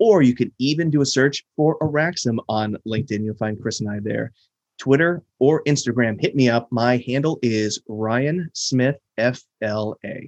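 An unremarkable speaking voice from a man with an American accent, medium pitch, and a fairly slow pace, in a dry, close sound with no echo. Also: ordinary pitch variation. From US, Florida. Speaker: podcast co-host. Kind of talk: casual chat.

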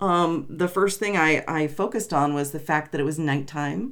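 A woman's fairly low pitch with ordinary pitch variation at a moderate pace, an unremarkable speaking voice. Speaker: podcast co-host. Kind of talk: casual chat. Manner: bantering, overlapping.

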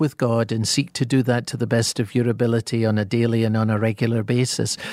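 A man talks with a Scottish accent. The sound is dry and close, with no echo. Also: very clean recording, silent background. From Scotland. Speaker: pastor and author. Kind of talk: radio interview about the Bible.

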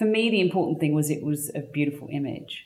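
A woman speaks with an English accent. Her pitch is very deep and low. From England. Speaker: artist and stylist. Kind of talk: interview. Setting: guest's home studio.

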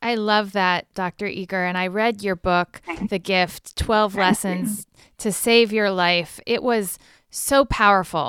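An ordinary speaking voice from a woman at medium pitch and fairly slow pace, dry and close with no echo, on a very clean recording with a silent background. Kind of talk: interview.

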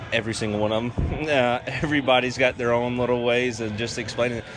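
Over noticeable background noise, a man with a Southern US accent talks at a very fast pace. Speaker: baseball relief pitcher. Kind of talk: interview. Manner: casual, filler-heavy, repetitive.

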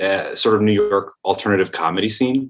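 A man with an American accent and a fairly low pitch speaks at a moderate pace in an ordinary speaking voice, recorded very cleanly against a silent background. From Michigan, near Grand Rapids. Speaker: film director. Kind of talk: interview.

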